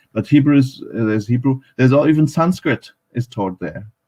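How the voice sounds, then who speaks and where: A man talks with ordinary pitch variation. His tone is dark and mellow. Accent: German. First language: German. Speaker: academic speaker on Pakistan. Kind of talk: panel talk at live online event. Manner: halting, many fillers.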